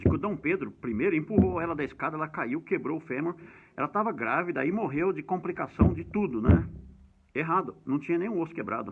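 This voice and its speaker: Lively intonation at a fairly quick pace. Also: man, fairly high pitch for a man. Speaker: history educator. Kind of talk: lecture. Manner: fast.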